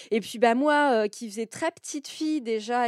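A woman with fairly high pitch and ordinary pitch variation at a moderate pace, in a very clean recording with a silent background and a dry, close sound with no echo. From northeastern France, near Reims. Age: 40s. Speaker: self-employed woman sharing her life story. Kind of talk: personal testimony. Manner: hesitant, many fillers.

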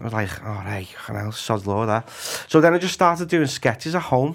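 A man speaks at a moderate pace with a Liverpool accent. His pitch sits in the medium range. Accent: Scouse. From Liverpool, Walton / Anfield. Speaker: actor and comedian. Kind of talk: casual chat.

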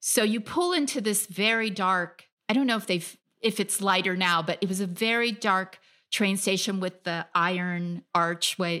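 A woman with an American accent speaks at a moderate pace and medium pitch, with ordinary pitch variation. It is an unremarkable speaking voice in a very clean recording with a silent background. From US (California). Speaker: freelance travel writer. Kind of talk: interview.

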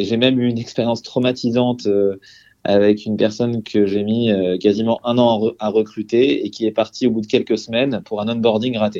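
Fairly quick and monotone, a man speaks at a medium pitch with flat intonation. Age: 30s. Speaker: entrepreneur, HR tech company founder. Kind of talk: interview. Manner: hesitant, many fillers.

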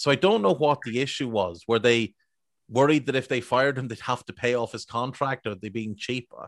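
A man with a normal speaking voice, medium pitch and ordinary pitch variation talks at a fairly quick pace, the sound dry and close with no echo. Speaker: football podcaster. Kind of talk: casual chat.

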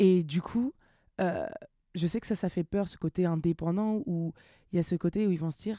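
Fairly low in pitch, a woman speaks with a dark, mellow tone. The recording is very clean with a silent background and a dry, close sound with no echo. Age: 30s. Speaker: body-positivity content creator. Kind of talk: casual chat.

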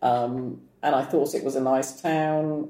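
A woman speaks in a dark, mellow tone. Her intonation stays monotone and flat. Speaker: yoga teacher. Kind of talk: casual interview chat.

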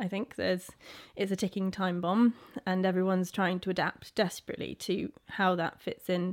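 A woman speaks at a medium pitch in a monotone, flat intonation. The recording is very clean, with a silent background. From Isle of Wight, England. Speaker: farmer. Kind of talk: casual chat. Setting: in a farm barn.

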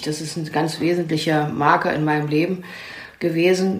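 Audible echo from the room and noticeable background noise both fill the recording. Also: woman. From East Germany. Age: 60s. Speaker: family therapist and clinic founder. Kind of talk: interview.

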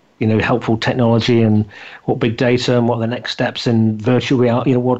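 A man with a British accent talks very fast at a medium pitch, his intonation flat and monotone. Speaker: podcast host interviewer. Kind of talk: casual interview.

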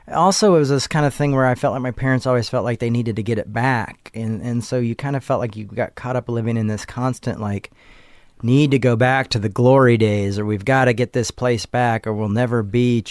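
In a very clean recording with a silent background, a man speaks in an ordinary speaking voice with ordinary pitch variation. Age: 30s. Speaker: minister and theologian. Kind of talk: personal interview, life story.

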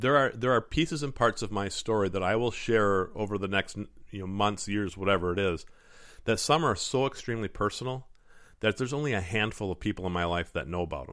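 A man with an American accent and a plain, everyday voice speaks at a fairly quick pace, his pitch fairly low with ordinary variation. The recording is very clean, with a silent background. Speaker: podcast host and motivational speaker. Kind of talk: personal storytelling monologue.

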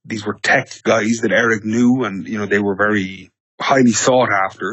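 Speaking at a moderate pace and medium pitch, a man with an Irish accent keeps a monotone, flat intonation. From Ireland. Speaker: business development director at a tech startup. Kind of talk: podcast interview.

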